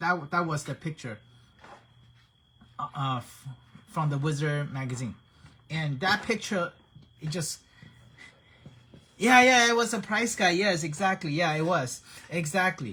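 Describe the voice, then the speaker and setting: A man's high, bright, sharp voice with a non-native accent, lively intonation, a fairly slow pace, and long, frequent pauses. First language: not English. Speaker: action figure painter and hobby streamer. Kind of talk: live-streamed tutorial chat. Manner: casual, halting with frequent repetitions.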